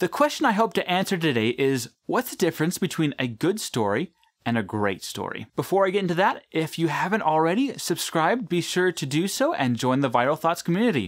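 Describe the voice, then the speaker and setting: A man speaks at a fairly quick pace, his pitch swinging very widely. The background is quiet. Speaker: video essay host. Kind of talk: commentary. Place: studio.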